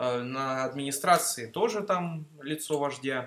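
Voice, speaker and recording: At a very slow pace, a man speaks in a fairly high pitch with ordinary pitch variation. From Mineralnye Vody, North Caucasus, Russia (born in Greece, moved at 6). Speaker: student. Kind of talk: casual chat.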